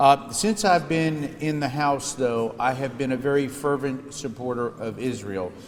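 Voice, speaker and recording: Over noticeable background noise, a man with an American accent speaks at a fairly high pitch with ordinary pitch variation. His pace is fairly slow, with hardly any pauses. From US Northeast and Midwest. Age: 60s. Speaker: politician. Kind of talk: speech.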